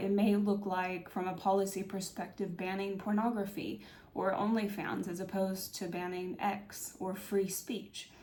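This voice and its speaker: Audible room echo surrounds a woman who speaks with fairly even intonation. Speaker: political commentary YouTuber. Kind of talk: video essay monologue. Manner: hesitant, many fillers.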